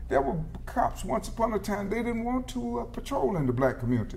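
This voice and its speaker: A man with an American accent speaks at a fairly quick pace. The room echo is audible. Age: 70s. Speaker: legislator and former teacher. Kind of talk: political panel discussion. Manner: halting, frequent fillers.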